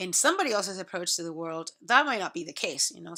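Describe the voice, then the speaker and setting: A woman with a Spanish accent speaks at medium pitch in a bright, sharp tone, on a very clean recording with a silent background. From Puerto Rico. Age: 40s. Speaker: college instructor. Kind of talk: recorded lecture to students. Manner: conversational, many fillers and repetitions.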